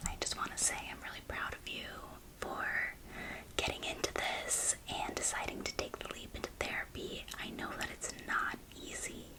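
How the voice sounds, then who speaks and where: Over noticeable background noise, the whispering moves at a moderate pace. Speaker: ASMR creator doing a therapist role play. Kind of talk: ASMR therapy intake role play, spoken to the viewer. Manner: whispering, soft and reassuring.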